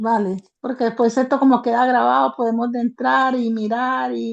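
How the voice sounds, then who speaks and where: A woman speaks with a fairly high pitch at a fairly slow pace. Her intonation stays fairly even. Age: 60s. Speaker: participant in online training session. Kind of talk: casual chat. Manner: halting.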